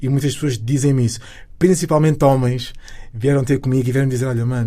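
Speaking very fast with fairly even intonation, a man has a somewhat breathy voice and a dark, mellow tone. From Lisbon, Portugal (Cova da Moura). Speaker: singer. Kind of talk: interview.

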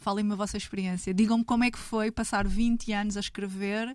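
A woman's fairly high, somewhat breathy voice with a European Portuguese accent, fairly quick and monotone in flat intonation, on a very clean recording with a silent background. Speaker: writer. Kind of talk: casual chat.

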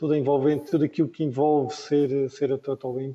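This man's voice has a fairly high pitch and a dark, mellow tone. He speaks at a fairly quick pace. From Madeira, Portugal. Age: 50s. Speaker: former Olympic windsurfer. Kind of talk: panel discussion. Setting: remote video call.

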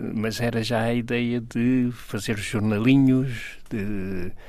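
At a very slow pace, a man speaks at a medium pitch amid audible room echo. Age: 90s. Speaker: comic book artist. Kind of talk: interview.

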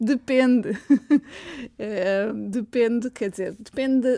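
With a European Portuguese accent, a woman talks at a very slow pace with long, frequent pauses, using a high pitch, ordinary pitch variation and a dark, mellow tone. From Portugal, Tomar. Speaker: linguistics professor. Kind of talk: interview. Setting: studio.

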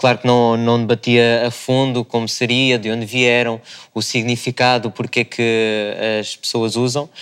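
The intonation stays monotone and flat. Delivery comes at a fairly slow pace. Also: man, medium pitch for a man. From Marinha Grande, Leiria, Portugal. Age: 20s. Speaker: videomaker. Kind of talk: panel discussion. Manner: halting.

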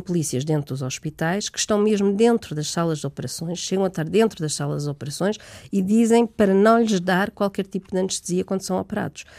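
On a very clean recording with a silent background, a woman talks at a fairly quick pace in a dark, mellow tone of medium pitch. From Portugal. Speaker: human rights researcher. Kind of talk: interview.

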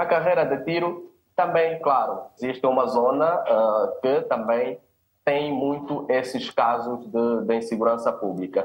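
An unremarkable speaking voice from a man, fairly high in pitch, with lively intonation, very even loudness and a fairly slow pace. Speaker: sociologist and community leader. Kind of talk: panel discussion.

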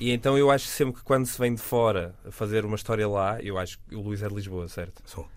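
A man's voice sits at a fairly low pitch. He talks at a very fast pace. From northern Portugal, Vila Nova de Gaia. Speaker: podcast panelist, TV critic. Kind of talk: casual chat.

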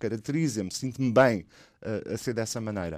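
In a very clean recording with a silent background, a man speaks in a plain, everyday voice at a fairly quick pace, with medium pitch and ordinary pitch variation. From Portugal. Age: 50s. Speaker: anthropologist and activist. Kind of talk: radio interview.

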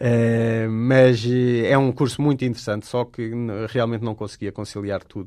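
A man with a European Portuguese accent at a medium pitch, moderate pace and monotone, flat intonation. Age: 30s. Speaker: wildlife photographer. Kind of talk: radio interview. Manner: hesitant, many fillers.

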